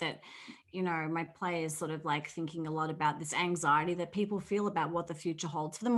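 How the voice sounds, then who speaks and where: A woman with an American accent talks at a very fast pace in a very clean recording with a silent background. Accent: Australian, shifted toward American. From Australia. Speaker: playwright. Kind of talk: panel discussion.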